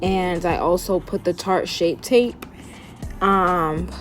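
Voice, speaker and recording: A woman speaks at a fairly slow pace in a medium-pitched, animated voice. Music plays in the background. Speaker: beauty vlogger. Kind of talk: makeup tutorial.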